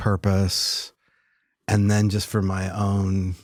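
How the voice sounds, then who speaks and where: A man with a fairly low pitch talks very slowly in a monotone, flat intonation, recorded very cleanly against a silent background. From upstate New York, later Florida and Texas. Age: 60s. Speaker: palliative care physician. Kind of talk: casual interview. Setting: in person.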